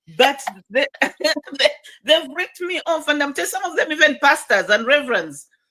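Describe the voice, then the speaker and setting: A woman with a high pitch uses a raised, projected voice, a bright, sharp tone and lively intonation at a moderate pace. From Zambia, Kitwe, Copperbelt. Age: 60s. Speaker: former politician and school founder. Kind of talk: interview conversation.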